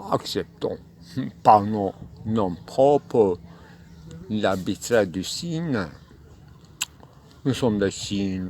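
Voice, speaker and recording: A man with a non-native accent, fairly low pitch, a very slow pace and long, frequent pauses. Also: lively intonation. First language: not French (speaking French). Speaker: philosophy speaker. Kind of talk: spontaneous philosophical monologue. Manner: halting, many hesitations.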